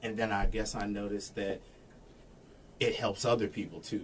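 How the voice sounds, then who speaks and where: A man speaks with an American accent. His pitch sits fairly low. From Florida, Daytona Beach. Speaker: singer in a party band. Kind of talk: casual interview chat. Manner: deadpan.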